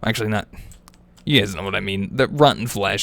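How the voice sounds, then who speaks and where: A man mumbles with ordinary pitch variation. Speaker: gaming youtuber. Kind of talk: let's play commentary. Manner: mumbling; casual, rambling with fillers.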